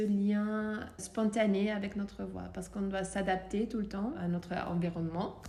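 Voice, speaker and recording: At a very slow pace, a woman with a slight Austrian accent speaks at a medium pitch and with fairly even intonation, with audible room echo. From Austria, Vienna. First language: German (speaking French). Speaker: voice coach. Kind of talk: interview. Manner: hesitant, many fillers.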